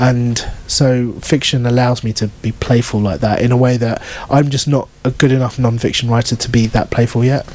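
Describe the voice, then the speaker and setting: This man talks at a moderate pace with a British accent, his medium-pitched voice following a fairly even intonation. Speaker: novelist. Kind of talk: book event Q&A. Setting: bookshop event with audience.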